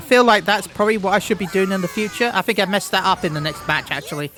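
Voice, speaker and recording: Over noticeable background noise, a man talks very fast in a raised, projected voice with ordinary pitch variation. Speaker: gaming YouTuber. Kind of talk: gameplay commentary. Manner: halting, repeats words.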